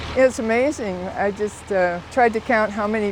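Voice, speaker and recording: Noticeable background noise surrounds a woman as she speaks. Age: 80s+. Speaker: elderly homeowner helped by work crew. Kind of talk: interview testimony.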